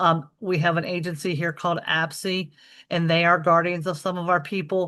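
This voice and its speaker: A woman's bright, sharp tone with monotone, flat intonation over a quiet background. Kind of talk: webinar presentation with Q&A. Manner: fast.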